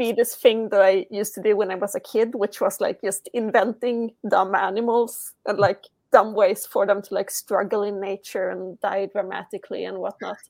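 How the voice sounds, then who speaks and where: With a Swedish accent, the speaker talks at a moderate pace with hardly any pauses and a monotone, flat intonation, in a dry, close recording with no echo. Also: woman, medium pitch for a woman. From Sweden. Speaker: comic creator. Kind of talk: casual interview chat. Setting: video call, laptop microphone.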